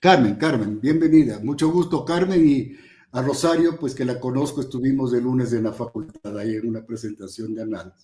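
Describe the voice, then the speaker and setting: A man with a dark, mellow, somewhat breathy voice speaks at a moderate pace, at a medium pitch with ordinary pitch variation. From Ecuador, Ambato. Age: 70s. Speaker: professor. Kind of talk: panel talk.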